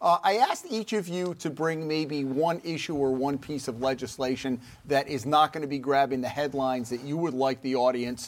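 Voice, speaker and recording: In an unremarkable speaking voice, a man talks at a moderate pace with hardly any pauses. His pitch is fairly high, with ordinary pitch variation. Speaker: moderator. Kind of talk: panel discussion moderating. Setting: studio.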